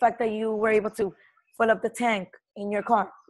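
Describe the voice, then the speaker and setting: The voice sounds animated and moves at a fairly quick pace. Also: woman. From Latin American heritage. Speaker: network marketing team leader. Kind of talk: team training call. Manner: loud.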